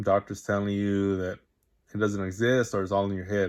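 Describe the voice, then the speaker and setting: A man with a fairly low pitch is heard on a very clean recording with a silent background. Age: 20s. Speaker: vlogger sharing personal experience. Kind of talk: personal testimony monologue. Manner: halting, with fillers and repetitions.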